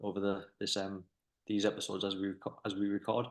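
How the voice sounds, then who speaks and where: In a Durham accent, a man with a fairly low pitch talks at a very fast pace in a flat monotone. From northern England, County Durham. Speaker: business owner, podcast host. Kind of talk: casual interview chat. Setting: office. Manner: hesitant, fillers and repetitions.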